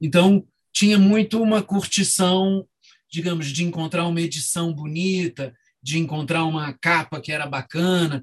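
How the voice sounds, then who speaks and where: A man talks with a high pitch and ordinary pitch variation. His pace is moderate. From Rio de Janeiro, Brazil. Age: 50s. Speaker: novelist and book editor. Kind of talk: interview. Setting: video call.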